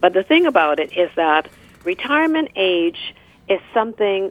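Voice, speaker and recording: Her intonation lively, a woman speaks in a plain, everyday voice at medium pitch and a fairly slow pace. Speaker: former politician. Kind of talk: panel discussion.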